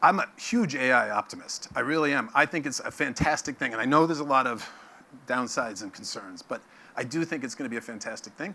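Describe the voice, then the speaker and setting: A man talks at a very fast pace with a New York accent. His fairly high voice has lively intonation. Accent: New York American. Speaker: company CEO giving keynote. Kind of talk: conference keynote. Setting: stage with audience.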